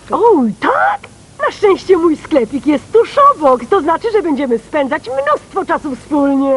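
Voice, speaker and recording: A woman at a high pitch with lively intonation and a fairly slow pace. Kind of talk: theatrical children's TV acting. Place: studio.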